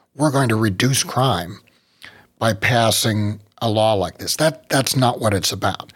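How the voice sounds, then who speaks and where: Here a man talks in a plain, everyday voice with an American accent. His medium pitch shows ordinary pitch variation at a fairly slow pace. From West Virginia. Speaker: gun rights group director and podcast host. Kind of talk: podcast interview.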